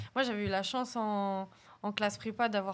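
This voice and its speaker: The speaker is a woman with a slight Paris suburban accent. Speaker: podcast guest. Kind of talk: casual chat. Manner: hesitant.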